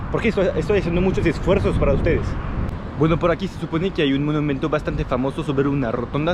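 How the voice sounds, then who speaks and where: Through noticeable background noise, a man talks at a very fast pace and fairly high pitch, with ordinary pitch variation. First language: French (speaking Spanish). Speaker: travel vlogger. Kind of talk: travel vlog narration. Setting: outdoors walking through city. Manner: casual, hesitant with repetitions.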